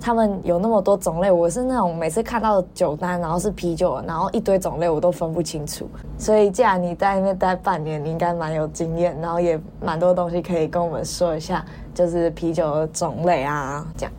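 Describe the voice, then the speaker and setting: A fairly low-pitched woman at a fairly quick pace, fairly even in intonation, against noticeable background noise. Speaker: podcast co-host, exchange student. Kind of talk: casual chat.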